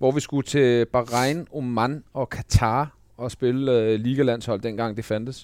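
On a very clean recording with a silent background, the speech goes at a very slow pace with fairly even intonation and hardly any pauses. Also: man, medium pitch for a man. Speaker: podcast co-host, former footballer. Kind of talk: casual chat.

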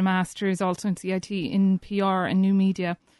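With a Cork accent, the speaker goes at a moderate pace, the sound dry and close with no echo against a quiet background. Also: woman. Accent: Cork Irish. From East Cork, Ireland. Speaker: estate agency co-founder. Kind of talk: radio interview. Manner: hesitant, many fillers.

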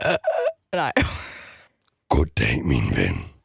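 A woman talks. Her sound is dry and close, without any echo. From Jutland, Denmark. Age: 20s. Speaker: radio host. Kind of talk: casual chat.

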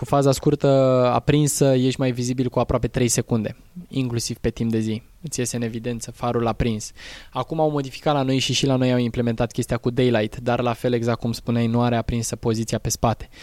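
This man talks at a fairly quick pace and a medium pitch. His intonation stays monotone and flat. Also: dry, close sound with no echo. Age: 20s. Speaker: rally driver and driving instructor. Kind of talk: interview. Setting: outdoors.

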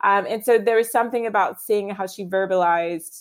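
A woman with a plain, everyday voice talks at a moderate tempo, using ordinary pitch variation. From US, Virginia. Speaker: fashion editor and author. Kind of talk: casual interview chat.

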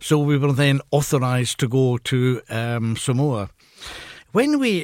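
This is a man speaking. He has a Glasgow accent. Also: dry, close sound with no echo. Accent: Scottish (Glasgow). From Scotland. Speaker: retired professor and author. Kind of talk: radio interview. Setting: radio studio.

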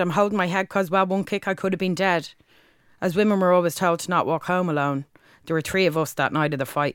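Speaking very fast in a Dublin accent, a woman uses a fairly low pitch with ordinary pitch variation, on a very clean recording with a silent background. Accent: Dublin Irish. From Dublin, Ireland. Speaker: spoken word poet. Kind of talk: spoken word performance.

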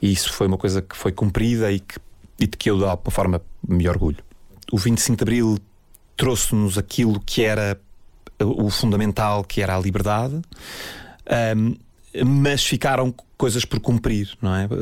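Long, frequent pauses break up a man's moderate-paced speech at a fairly low pitch with ordinary variation. The recording is very clean and the background silent. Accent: European Portuguese. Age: 40s. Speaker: architect. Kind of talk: personal storytelling interview. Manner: halting, many fillers and repetitions.

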